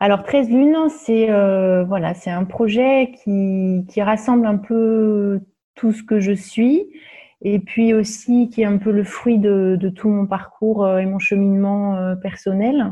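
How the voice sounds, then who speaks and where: A woman's somewhat breathy voice at a medium pitch, very slow pace and fairly even intonation. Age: 40s. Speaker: holistic wellness practitioner. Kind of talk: podcast interview. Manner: hesitant, many fillers.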